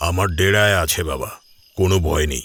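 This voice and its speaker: A raspy, put-on character voice with ordinary pitch variation comes through on a very clean recording with a silent background. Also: man. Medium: read story. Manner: grave, gentle.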